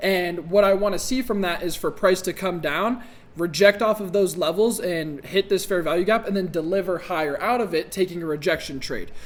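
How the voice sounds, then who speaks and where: A man speaks at a fairly quick pace in a high voice with ordinary pitch variation. Noticeable background noise runs underneath. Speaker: day trader. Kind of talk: tutorial. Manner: casual; halting.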